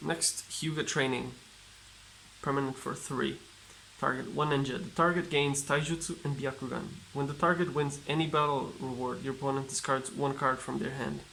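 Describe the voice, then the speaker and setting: A man with a non-native accent, fairly high pitch with vocal fry, fairly even intonation, a bright, sharp tone and a moderate pace. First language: not English. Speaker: card game YouTuber. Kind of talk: casual unboxing commentary. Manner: reads card text aloud, halting.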